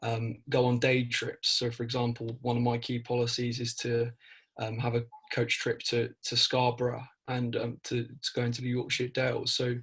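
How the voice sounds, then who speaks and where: Monotone, flat intonation from a man at a moderate pace. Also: medium pitch for a man. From East Anglia, South Suffolk. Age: 20s. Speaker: student election candidate. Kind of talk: interview. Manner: hesitant, many fillers and repeats.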